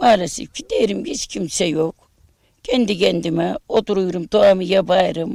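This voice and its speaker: A woman speaks with vocal fry at a moderate pace and ordinary pitch variation, the sound dry and close with no echo. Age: 60s. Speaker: bereaved mother of a martyr. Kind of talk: news interview testimony.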